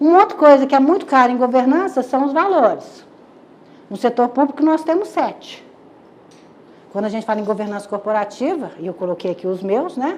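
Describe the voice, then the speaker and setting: Her voice is high, with very wide pitch swings. The woman talks at a fairly quick pace, with long, frequent pauses. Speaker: lecturer. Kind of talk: lecture. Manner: fast; animated.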